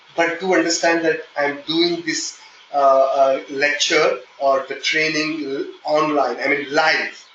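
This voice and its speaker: Very slow and monotone, a man with a fairly high pitch speaks flatly against noticeable background noise. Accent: slight Indian. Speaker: software testing trainer. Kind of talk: live online training session. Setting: online meeting. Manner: hesitant, with fillers.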